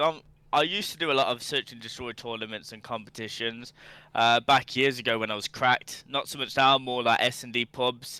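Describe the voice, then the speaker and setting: With a Birmingham accent, a man talks at a fairly quick pace and medium pitch. His tone is bright and sharp, and the sound is dry and close with no echo. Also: very clean recording, silent background. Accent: Birmingham (Brummie). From England, Birmingham. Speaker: gaming streamer. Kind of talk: casual podcast chat. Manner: animated.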